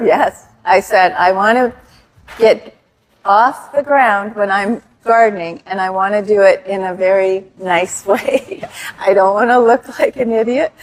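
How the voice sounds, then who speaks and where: A woman speaks at a medium pitch with ordinary pitch variation in a plain, everyday voice. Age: 60s. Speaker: gym client. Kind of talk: casual interview.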